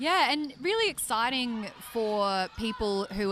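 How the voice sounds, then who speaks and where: Her voice fairly high, a woman with an Australian accent talks at a fairly slow pace with lively intonation. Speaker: netball commentator. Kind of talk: live sports commentary. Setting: live event arena. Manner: animated.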